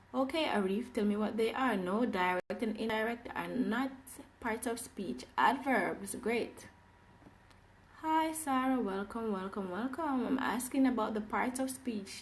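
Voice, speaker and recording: In a fairly high voice with an animated tone and ordinary pitch variation, a woman speaks at a fairly slow pace amid audible room echo. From Jamaica. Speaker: English teacher. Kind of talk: live online class. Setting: livestream.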